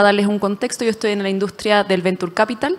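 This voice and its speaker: A woman with a Chilean accent and monotone, flat intonation. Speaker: venture capital investor. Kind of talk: panel discussion.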